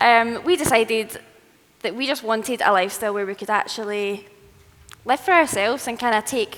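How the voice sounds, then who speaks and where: Speaking in a strong Scottish accent, a woman talks at a fairly quick pace and a fairly high pitch. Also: ordinary pitch variation. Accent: thick Scottish. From Scotland. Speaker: travel content creator and writer. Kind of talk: live presentation.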